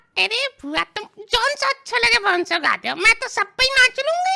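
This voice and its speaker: A woman's put-on character voice, extremely high in pitch, with lively intonation at a fairly quick pace, in a dry, close sound with no echo. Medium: machinima.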